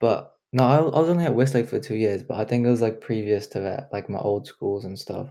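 A man with a New Zealand accent speaks at a medium pitch with ordinary pitch variation and hardly any pauses. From China, raised in New Zealand from age three. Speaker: student podcast co-host. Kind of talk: casual chat.

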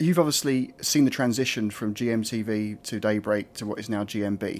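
A man with an Essex accent speaks with ordinary pitch variation. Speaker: podcast host. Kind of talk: interview. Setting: backstage dressing room.

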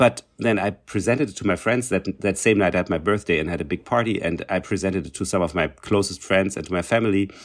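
A man with a German accent talks at a very fast pace in a fairly low voice with ordinary pitch variation, on a very clean recording with a silent background. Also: hardly any pauses. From East Germany. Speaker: cellist and festival director. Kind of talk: casual interview.

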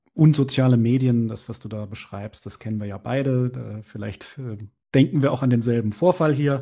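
This man's voice has a dark, mellow tone, ordinary pitch variation and big swings in loudness at a moderate pace. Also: medium pitch for a man. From Bavaria, small town. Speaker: podcast host. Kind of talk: interview.

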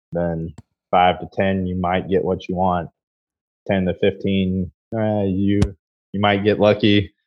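Fairly slowly and in a monotone, flat intonation, a man with an American accent speaks at a very deep, low pitch. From US Midwest. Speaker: head distiller. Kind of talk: interview. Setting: remote call.

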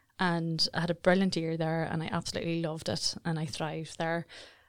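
Speaking in a Northern Irish accent, the voice moves at a fairly quick pace. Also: woman, very clean recording, silent background. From Northern Ireland, South Armagh. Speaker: marketing agency director. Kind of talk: interview conversation. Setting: studio.

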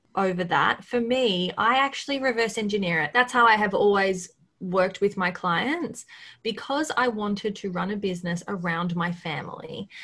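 Speaking at a moderate pace with an Australian accent, a woman has a medium-pitched voice, a bright, sharp tone and lively intonation. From Australia, coast near Melbourne. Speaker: marketing agency owner. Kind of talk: casual interview. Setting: video call.

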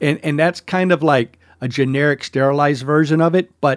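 Recorded very cleanly against a silent background with a dry, close, echo-free sound, a man with an American accent speaks in an ordinary speaking voice at a moderate pace with ordinary pitch variation. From US South. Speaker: podcast host and chef. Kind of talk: casual chat. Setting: studio.

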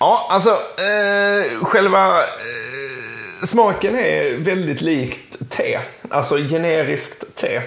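A man speaks at a very slow pace. Room echo and noticeable background noise can be heard. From southern Sweden, Skåne. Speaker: sports journalist and football podcaster. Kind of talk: casual chat.

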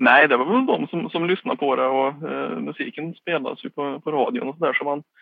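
Hardly any pauses break up this fairly quick delivery. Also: man. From Värmland, Sweden (Skåre near Karlstad). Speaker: government communications officer and literary society board member. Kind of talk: interview. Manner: halting.

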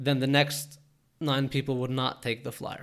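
The clip features a normal speaking voice. The pace is moderate. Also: man, very clean recording, silent background. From Toronto, Canada. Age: 20s. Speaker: podcast host and entrepreneur. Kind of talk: solo podcast monologue.

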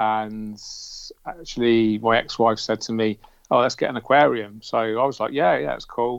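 A man with a British accent, medium-pitched, with ordinary pitch variation. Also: moderate pace. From England. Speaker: aquascaper. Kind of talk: casual interview. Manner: calm, clearly explained.

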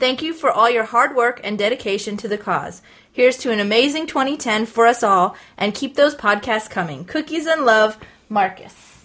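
A normal speaking voice from a woman, fairly high-pitched with ordinary pitch variation and a moderate pace, on a very clean recording with a silent background. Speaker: podcast host. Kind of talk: casual chat.

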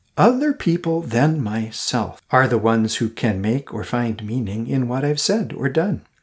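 An ordinary speaking voice from a man at medium pitch, moderate in pace, with lively intonation and hardly any pauses. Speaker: podcast host and coach. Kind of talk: reflective solo monologue. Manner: earnest, reflective.

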